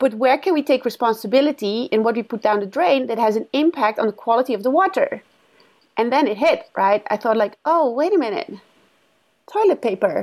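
Her intonation lively, a woman speaks at a high pitch and a fairly quick pace. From Netherlands. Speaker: company founder. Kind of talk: interview.

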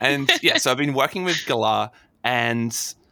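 A man with an Australian accent and a bright, sharp tone, at a moderate pace, dry and close with no echo, on a very clean recording with a silent background. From Australia, Adelaide. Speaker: astronomer and science communicator. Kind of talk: casual interview.

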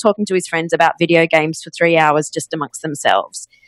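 A woman with an Australian accent at a very fast pace. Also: dry, close sound with no echo. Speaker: podcast agency CEO. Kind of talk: interview.

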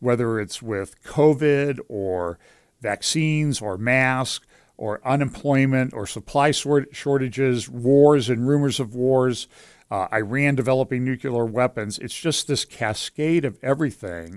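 In a very clean recording with a silent background and a dry, close sound with no echo, a man at medium pitch speaks at a fairly slow pace with ordinary pitch variation. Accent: western Pennsylvania. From western Pennsylvania. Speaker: pastor and lawyer. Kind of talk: casual interview chat. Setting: studio.

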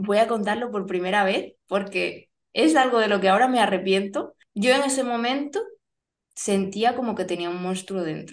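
A woman talks at a moderate pace and a medium pitch. She has a plain, everyday voice with ordinary pitch variation. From Spain (born Barcelona). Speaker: family photographer. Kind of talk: personal testimony in interview.

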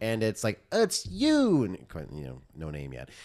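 A man with an American accent speaks at medium pitch and a moderate pace. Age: 30s. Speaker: podcast co-host. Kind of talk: casual chat.

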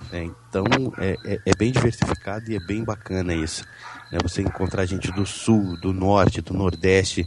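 At a moderate pace, a man with a very deep, low pitch speaks somewhat breathily with fairly even intonation. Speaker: podcaster. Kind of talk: casual chat. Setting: online group call. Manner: speaks very close to mic, breathy puffs.

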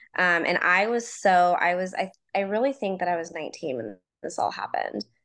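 A woman with an American accent has an ordinary speaking voice, speaking at a moderate pace in a medium pitch with ordinary pitch variation. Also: quiet background. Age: 30s. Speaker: nurse and mom. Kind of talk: personal storytelling in interview.

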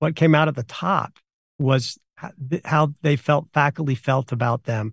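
Dry, close sound with no echo, a man's somewhat breathy voice, fairly high-pitched, moderate pace. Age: 50s. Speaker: university professor. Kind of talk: interview.

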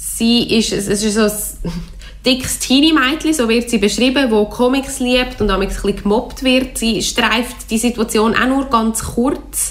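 In a Swiss accent, a woman speaks at a fairly slow pace and fairly high pitch with ordinary pitch variation. Her loudness is very even, and there is noticeable background noise. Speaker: literature radio show host. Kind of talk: book discussion. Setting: radio studio.

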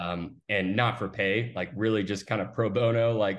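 A man with an American accent speaks in a normal speaking voice at a fairly low pitch. His pace is moderate, his intonation fairly even, and the background is quiet. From Austin, Texas. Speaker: recruiting firm founder. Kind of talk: interview.

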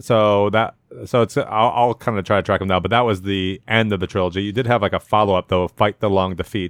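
Fairly quick and fairly low-pitched, this man has an unremarkable speaking voice with fairly even intonation. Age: 40s. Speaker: podcast co-host. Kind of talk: casual chat.

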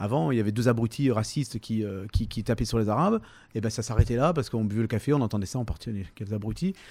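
At a very fast pace, a man speaks in a dark, mellow tone at medium pitch. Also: ordinary pitch variation. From Provence, Var (Toulon). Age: 50s. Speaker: comedian and musician. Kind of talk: interview. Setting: hotel. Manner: hesitant, many fillers and repetitions.

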